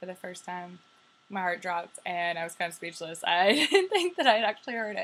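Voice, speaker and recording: A woman with an American accent speaks at a moderate pace. She has a plain, everyday voice at medium pitch. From New York. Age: 20s. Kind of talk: casual talk to camera. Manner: chatty, upbeat.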